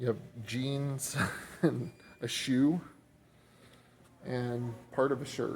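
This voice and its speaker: He speaks with an American accent at a very slow pace, with long, frequent pauses. His medium-pitched, somewhat breathy voice keeps a fairly even intonation. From Oklahoma, Tulsa. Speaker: first amendment auditor, video blogger. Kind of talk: walking vlog narration. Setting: inside an airport, filming.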